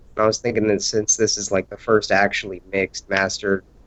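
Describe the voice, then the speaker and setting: This man's voice sits at a fairly low pitch. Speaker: rapper. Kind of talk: casual chat. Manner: soft-spoken.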